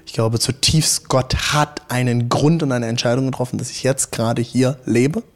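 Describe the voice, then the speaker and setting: This man talks at a moderate pace and a medium pitch. His intonation stays fairly even. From Rhineland-Palatinate, Hunsrück. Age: 30s. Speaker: pastor. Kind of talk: casual interview chat. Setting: in a church, in person. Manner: talkative.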